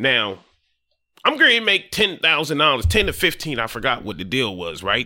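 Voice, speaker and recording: A man with an American accent speaks with vocal fry and a bright, sharp tone. His pace is moderate and his pitch swings very widely. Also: medium pitch for a man. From Delaware (Dover), US. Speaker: real estate wholesaler, former prisoner. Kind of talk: casual interview. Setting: studio with cameras.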